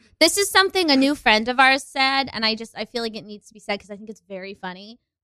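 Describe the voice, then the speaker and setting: Very fast speech comes with a bright, sharp, animated tone and lively intonation, recorded dry and close with no echo. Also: woman. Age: 20s. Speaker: educator and improv comedian. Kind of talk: casual chat. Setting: studio.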